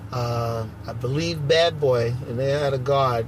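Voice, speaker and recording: Here a man with a New York accent talks at a medium pitch. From Brooklyn, New York. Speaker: basketball referee. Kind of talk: interview. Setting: at a tournament venue.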